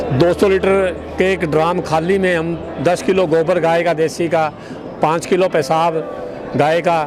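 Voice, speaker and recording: A man speaks in a high pitch. There is noticeable background noise. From Haryana, India. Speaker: farmer. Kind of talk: interview. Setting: outdoors at a farmers' fair.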